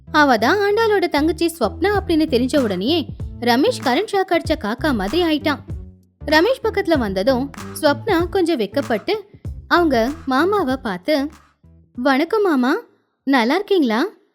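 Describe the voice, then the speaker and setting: Over music in the background, a woman speaks at a high pitch with very wide pitch swings and very even loudness. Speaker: voice actor. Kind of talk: animated moral story narration.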